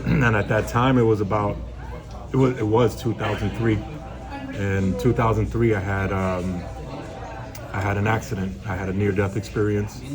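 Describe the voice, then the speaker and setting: A soft-spoken man with a New York accent talks at a moderate pace in a fairly low voice, pausing long and often. Crowd noise sits in the background, and the room echo is audible. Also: ordinary pitch variation. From New York City, the Bronx. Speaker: DJ. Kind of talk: interview. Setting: restaurant.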